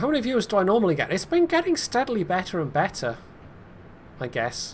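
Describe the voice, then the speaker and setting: A man with a slight west-of-Scotland accent speaks at a very fast pace in a high pitch with very wide pitch swings. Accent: mild west-of-Scotland. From Scotland (Ayrshire, then Outer Hebrides). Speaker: game streamer. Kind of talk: live gameplay stream chat. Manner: casual, conversational.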